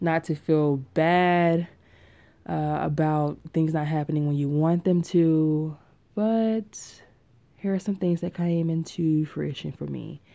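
A woman's very deep, low voice, dark and mellow, very slow with fairly even intonation, on a very clean recording with a silent background. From Tennessee. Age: 20s. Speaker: podcast host. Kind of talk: casual monologue. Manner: talkative.

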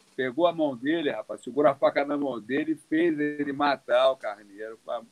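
The recording is dry and close with no echo as a man with a fairly high pitch speaks with ordinary pitch variation. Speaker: jiu-jitsu master and doctor. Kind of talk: casual live stream chat.

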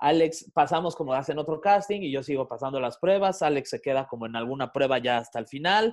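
Over a quiet background, a man with a normal speaking voice talks fairly quickly, his fairly high pitch carried by lively intonation. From Mexico City. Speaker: radio and podcast host. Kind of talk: casual chat.

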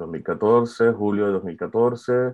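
The tone is dark and mellow, with fairly even intonation. Delivery is very slow against a quiet background. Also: man. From Venezuela, Valencia. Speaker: art student and graphic designer. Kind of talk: personal testimony. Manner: halting.

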